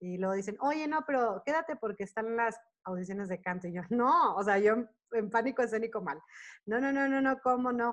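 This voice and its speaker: Against a quiet background, a woman with a Mexican accent speaks with lively intonation. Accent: Mexican Spanish accent when speaking English. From Monterrey, northern Mexico. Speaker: choreographer, dancer and actress. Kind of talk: casual interview. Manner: talkative, fast-flowing.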